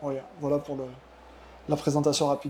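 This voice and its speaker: A man speaks with a dark, mellow tone at a fairly high pitch. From France, Cantal (southern Auvergne). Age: 30s. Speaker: ultimate frisbee athlete. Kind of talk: podcast interview. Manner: hesitant, many fillers.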